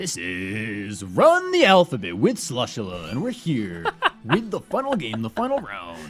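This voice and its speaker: Over faint music in the background, a man does a put-on character voice at medium pitch, sounding strained, at a moderate pace with big swings in loudness. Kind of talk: announcer.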